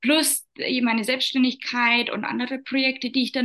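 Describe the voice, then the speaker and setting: Speaking at a moderate pace, a woman uses a bright, sharp tone and fairly even intonation. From Upper Palatinate, Bavaria, Germany. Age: 30s. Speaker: entrepreneur. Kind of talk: interview.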